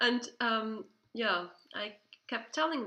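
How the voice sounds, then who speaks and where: A woman with a Swiss German accent speaks in a bright, sharp, fairly high voice with lively intonation. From Switzerland. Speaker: video host. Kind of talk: casual chat.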